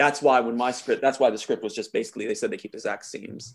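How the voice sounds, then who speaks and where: A man talking at a very fast pace. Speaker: screenwriter claiming authorship. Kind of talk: casual chat.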